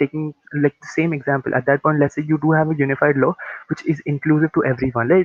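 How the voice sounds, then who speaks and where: This man's voice sits fairly high and runs at a very fast pace. His intonation stays fairly even. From India. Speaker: debater. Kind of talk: competitive debate speech.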